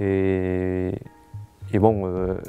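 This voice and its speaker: Over music in the background, a man with a Spanish accent talks at a fairly low pitch. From Mexico. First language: Spanish (speaking French). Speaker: master's student and writer. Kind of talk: interview testimony. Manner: halting, many repetitions and fillers.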